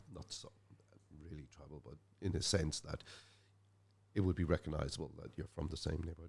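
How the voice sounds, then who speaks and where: A man with a Dublin accent speaks at a fairly quick pace, his pitch very deep and low and his intonation fairly even. His voice is somewhat breathy, with big swings in loudness and long, frequent pauses. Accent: north Dublin Irish. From Ireland, north Dublin (Finglas). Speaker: musician. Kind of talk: casual interview chat.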